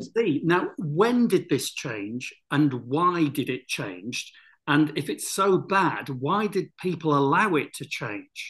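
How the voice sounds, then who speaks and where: This man talks at a very slow pace with a fairly high pitch, very wide pitch swings, vocal fry and hardly any pauses. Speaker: interviewer, channel host. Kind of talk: interview questions.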